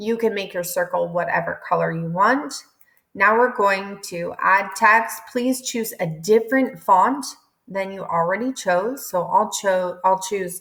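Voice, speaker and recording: An unremarkable speaking voice, this woman talks at a fairly slow pace with a medium pitch and ordinary pitch variation. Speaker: teacher. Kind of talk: tutorial.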